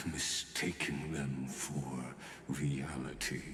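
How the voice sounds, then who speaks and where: A man uses a put-on character voice, with a slight echo. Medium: video game. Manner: theatrical, condescending.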